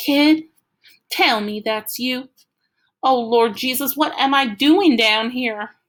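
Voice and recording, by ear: In a put-on character voice, a female-sounding speaker goes at a fairly slow pace with a shaky, high pitch and long, frequent pauses.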